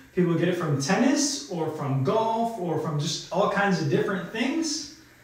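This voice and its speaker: Strong room echo surrounds a man talking at a moderate pace. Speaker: fitness coach. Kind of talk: tutorial. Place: studio. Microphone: camera far.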